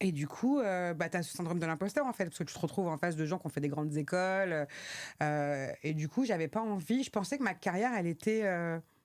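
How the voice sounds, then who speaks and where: On a very clean recording with a silent background, a woman with a fairly low pitch speaks at a fairly quick pace with lively intonation. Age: 40s. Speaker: trainer and consultant, single mother. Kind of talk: interview. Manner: hesitant, many fillers.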